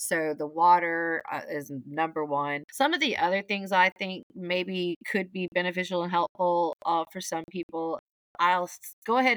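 A woman with an ordinary speaking voice talks at a moderate pace, her fairly low pitch kept to fairly even intonation. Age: 40s. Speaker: recovering kratom user, co-host. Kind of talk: casual chat.

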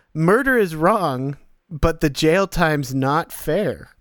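A man speaks in a normal speaking voice, his fairly high pitch carried by lively intonation. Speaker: podcast host. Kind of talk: casual banter.

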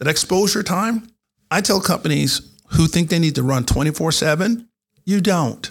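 Somewhat breathy, a man talks in an American accent. He keeps a moderate pace and his intonation is lively. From North Carolina. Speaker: retired general and cybersecurity executive. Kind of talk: interview. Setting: studio.

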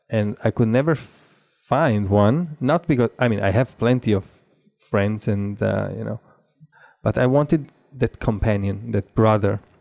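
Speaking in an Italian accent at a fairly slow pace, a man with a fairly low pitch is heard in a dry, close sound with no echo. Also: ordinary pitch variation. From southern Italy. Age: 40s. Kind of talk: casual interview conversation.

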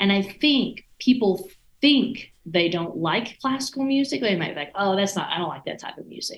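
A somewhat breathy woman at a medium pitch speaks with very wide pitch swings and big swings in loudness. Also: moderate pace. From US South, East Texas. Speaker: orchestra conductor. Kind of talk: casual interview.

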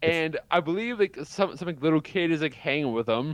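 A man with a fairly high pitch speaks in a plain, everyday voice at a fairly quick pace. His pitch varies in an ordinary way, and the background is quiet. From Canada. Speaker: podcast co-host. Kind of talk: casual chat.

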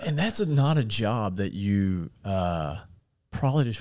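A man with an American accent speaks at a moderate pace with lively intonation and a fairly low pitch, in an ordinary speaking voice. The recording is very clean, with a silent background. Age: 30s. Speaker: podcast host. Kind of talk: interview.

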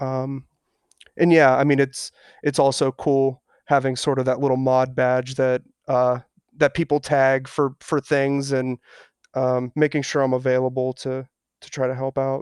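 A man's medium-pitched voice with a Midwestern American accent, monotone and flat, at a fairly slow pace with long, frequent pauses, dry and close with no echo. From Ohio. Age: 30s. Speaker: online community moderator. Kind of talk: interview. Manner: hesitant, many fillers.

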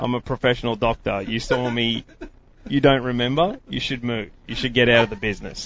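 Someone speaks at a fairly quick pace with an Australian accent and fairly even intonation. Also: man, medium pitch for a man. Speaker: kayak angler. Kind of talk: casual chat. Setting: studio.

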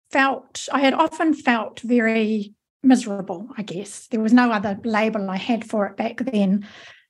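A woman with an unremarkable speaking voice talks fairly slowly at a fairly high pitch, her pitch varying in an ordinary way. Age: 50s. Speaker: author and mentor. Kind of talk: interview.

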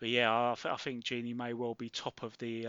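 A man speaks in a plain, everyday voice at a moderate pace. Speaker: podcast co-host, sports journalist. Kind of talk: casual podcast chat.

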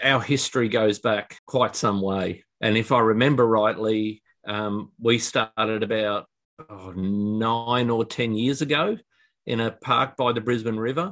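Fairly even intonation in a man's unremarkable speaking voice. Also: medium pitch for a man. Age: 50s. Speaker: business manager, fitness client. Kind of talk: interview.

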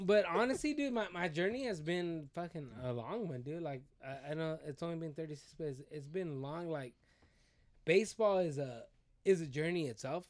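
A man with an unremarkable speaking voice talks at a moderate pace, his fairly high pitch carried by lively intonation. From US, Mexican-American family. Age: 30s. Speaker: baseball player. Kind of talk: casual chat.

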